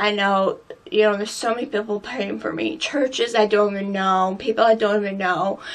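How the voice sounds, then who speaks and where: Noticeable background noise sits behind a woman's medium-pitched voice. She talks at a fairly quick pace. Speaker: beauty vlogger. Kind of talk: personal vlog. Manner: halting.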